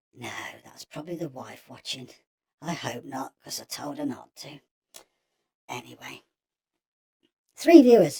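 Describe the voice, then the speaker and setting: A raspy, put-on character voice at a low-to-middle pitch moves at a moderate pace with long, frequent pauses. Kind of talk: comedy spoof live show. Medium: role play. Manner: rambling, hesitant, chatty.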